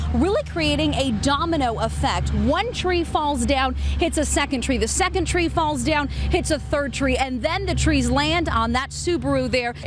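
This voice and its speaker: A woman speaking fairly slowly with very even loudness and hardly any pauses, over noticeable background noise. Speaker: weather anchor and reporter. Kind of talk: TV field reporter segment. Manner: friendly, conversational, enthusiastic.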